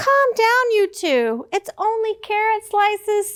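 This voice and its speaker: A woman puts on a squeaky character voice at an extremely high pitch. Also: fairly slow pace. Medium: read story.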